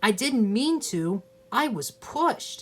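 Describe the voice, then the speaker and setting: A put-on character voice, fairly high in pitch, at a fairly slow pace. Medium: read story. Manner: eager, excitable.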